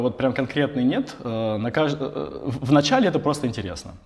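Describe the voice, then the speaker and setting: A man speaks with a fairly high pitch and some vocal fry. His pitch varies in an ordinary way. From Russia, Tambov. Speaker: tech company CEO. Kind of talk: interview. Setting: office. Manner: halting.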